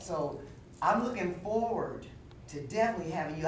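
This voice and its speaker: A woman speaks with ordinary pitch variation and audible room echo. Noticeable background noise runs behind her. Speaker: TV talk show host. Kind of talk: TV interview. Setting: TV studio. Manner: fast.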